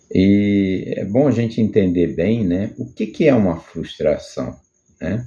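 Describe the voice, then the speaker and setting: His pitch sits fairly low. The man talks very slowly. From Brazil, Rio de Janeiro. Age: 60s. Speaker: personal video blogger. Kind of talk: personal testimony monologue. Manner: halting, many repetitions and fillers.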